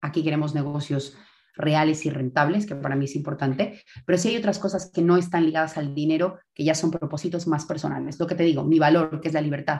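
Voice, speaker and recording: This woman's voice has a very deep, low pitch. She talks at a very fast pace. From Bolivia. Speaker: entrepreneur, event marketing expert. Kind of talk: casual interview. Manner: animated.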